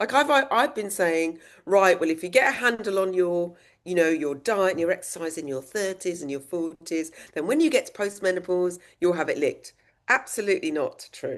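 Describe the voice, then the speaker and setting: Talking at a fairly quick pace, a woman with a southern English accent uses lively intonation. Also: medium pitch for a woman. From England, Oxfordshire. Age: 60s. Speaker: menopause activist, former teacher. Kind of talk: interview podcast.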